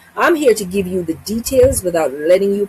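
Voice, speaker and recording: Noticeable background noise surrounds this woman's voice. She speaks at a medium pitch with lively intonation. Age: 60s. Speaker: travel vlogger. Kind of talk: informational vlog.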